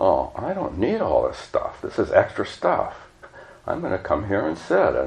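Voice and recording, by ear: A text read aloud in a natural voice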